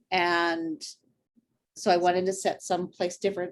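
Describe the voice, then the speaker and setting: An ordinary speaking voice from a woman with an American accent, medium pitch and a fairly slow pace. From Idaho, US. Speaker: author. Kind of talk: interview.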